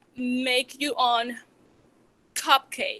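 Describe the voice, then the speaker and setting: In a strong Venezuelan accent, a woman with a high pitch uses a raised, projected voice with a bright, sharp tone and a dry, close sound with no echo. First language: Spanish. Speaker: small business owner, chocolatier. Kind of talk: public talk. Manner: halting, many fillers.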